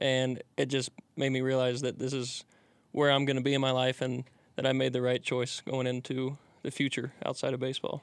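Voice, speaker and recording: A fairly quick man with a Midwestern American accent, medium pitch and monotone, flat intonation, on a very clean recording with a silent background. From Indiana. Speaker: college baseball pitcher. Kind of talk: casual interview.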